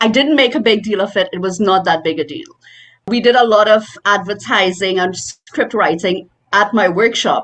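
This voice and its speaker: Speaking in a Caribbean accent, a woman keeps a moderate pace and a fairly high pitch with ordinary variation. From Trinidad and Tobago. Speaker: voice actor. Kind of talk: interview answer. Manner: animated.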